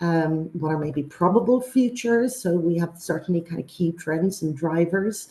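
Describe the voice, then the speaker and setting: A somewhat breathy woman's voice with a dark, mellow tone and lively intonation. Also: fairly low pitch for a woman, moderate pace. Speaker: university presenter. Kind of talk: webinar presentation. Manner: halting with many fillers.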